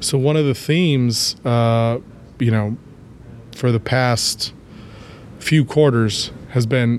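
Intonation stays fairly even as a man talks in a medium-pitched voice. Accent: American. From Ohio, US Midwest. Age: 30s. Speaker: clean energy company executive, chemist. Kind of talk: interview.

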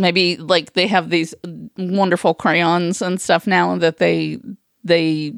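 A woman's fairly low voice, very slow in pace, with fairly even intonation. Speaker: co-host. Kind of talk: casual chat.

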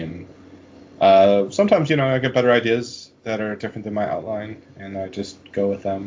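Speaking at a fairly quick pace, a man has an ordinary speaking voice with a fairly low pitch. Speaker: podcast host and fantasy author. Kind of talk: casual interview.

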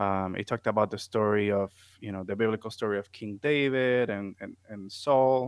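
Speaking with a Puerto Rican accent, a man keeps a moderate pace and a fairly low pitch, his intonation fairly even. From Puerto Rico. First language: Spanish. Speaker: music therapist. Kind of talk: interview conversation.

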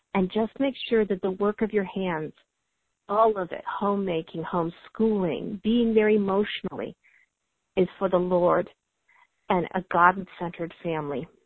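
Pitch shifts in an ordinary way here. It is a normal speaking voice, moving at a moderate pace. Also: woman, medium pitch for a woman. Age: 40s. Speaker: homeschooling mom with chronic illness, military veteran. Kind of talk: interview.

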